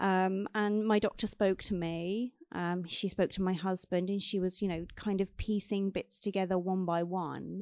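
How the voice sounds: At a moderate pace and a medium pitch, a woman speaks with fairly even intonation, few pauses and a slightly mellow tone.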